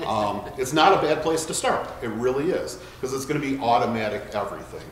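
A man at a fairly quick pace with ordinary pitch variation, in audible room echo and light background noise. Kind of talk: tutorial. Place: shop.

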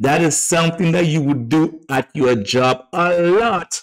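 At a moderate pace, a man speaks in a fairly high pitch. His tone is animated, with lively intonation. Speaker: database tutorial instructor. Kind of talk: tutorial.

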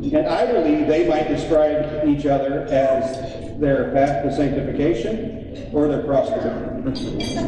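A man's fairly high voice at a fairly slow pace, with ordinary pitch variation, strong room echo and light background noise. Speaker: event emcee. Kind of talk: awards presentation speech. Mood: warm, admiring. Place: hall. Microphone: podium.

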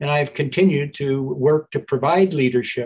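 A man talks at a moderate pace in a somewhat breathy voice. The background is quiet. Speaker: politician giving opening remarks. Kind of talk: opening remarks speech. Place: office. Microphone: video call.

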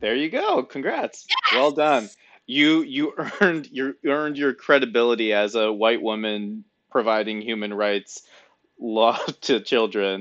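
Against a quiet background, a man with an American accent talks at a fairly slow pace with ordinary pitch variation. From US Midwest, Michigan. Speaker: podcast host. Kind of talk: casual interview. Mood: warm, jokey. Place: home room. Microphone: headset.

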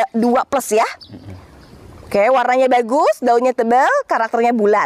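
A woman talks at a high pitch in an animated tone. The sound is dry with no echo, and her loudness stays very even. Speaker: plant nursery seller. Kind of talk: street seller; sales pitch. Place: garden.

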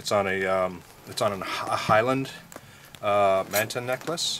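In a normal speaking voice, a man talks at a fairly low pitch with fairly even intonation over light background noise. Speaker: dive instructor. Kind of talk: tutorial. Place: forest. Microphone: camera far.

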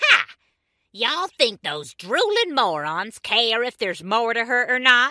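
The voice is loud, with very wide pitch swings. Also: woman, fairly high pitch for a woman, moderate pace. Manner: cranky, scheming, loud.

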